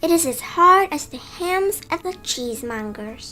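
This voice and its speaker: A woman uses a put-on character voice at an extremely high pitch. She keeps to a moderate pace. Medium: read story.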